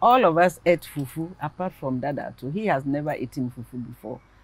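This woman speaks with lively intonation. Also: dry sound with no echo. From Ghana. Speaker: interviewee. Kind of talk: family interview. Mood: warm, reminiscing about mother. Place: garden.

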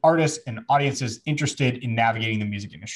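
The background is quiet. A man speaks with ordinary pitch variation and a somewhat breathy sound. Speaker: podcast host. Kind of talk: casual podcast chat. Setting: studio. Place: home room. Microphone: studio mic.

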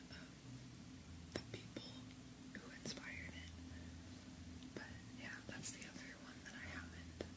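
At a moderate pace, a woman is talking. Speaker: ASMR creator. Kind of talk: ASMR whisper ramble; casual talk to camera. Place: home room.

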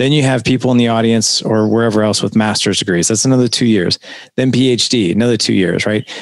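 A man at a fairly quick pace with fairly even intonation and very even loudness, in a dry sound with no echo and a quiet background. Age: 40s. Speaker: podcast host. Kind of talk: casual interview. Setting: video call. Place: studio. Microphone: headset.

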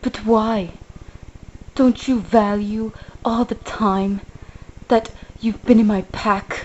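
A female-sounding, put-on character voice comes across whiny at a fairly high pitch, in a monotone, flat intonation. It moves at a very slow pace with long, frequent pauses over light background noise. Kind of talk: comic overacting. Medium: puppet show. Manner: whiny, guilt-tripping.

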